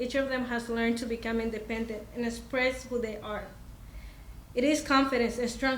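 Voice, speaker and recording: A woman with a Spanish accent and a high pitch, speaking at a fairly quick pace with fairly even intonation, amid noticeable background noise and audible room echo. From Mexico. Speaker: parent and community organizer. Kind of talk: prepared speech. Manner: halting.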